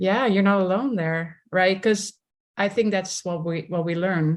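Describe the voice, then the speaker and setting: This woman speaks with a Dutch accent at a medium pitch. Her pace is fairly slow and her intonation fairly even. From Netherlands, village near The Hague. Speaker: somatics leadership coach. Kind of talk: interview conversation.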